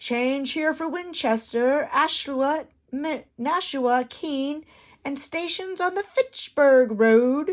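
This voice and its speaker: In a put-on character voice, a woman speaks very slowly at a high pitch with ordinary pitch variation. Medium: read story. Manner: blunt, simple.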